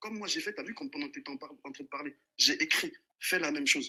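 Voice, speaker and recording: A bright, sharp voice races along at a very fast pace, with very wide pitch swings and big swings in loudness. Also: man. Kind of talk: heated debate. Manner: soft-spoken.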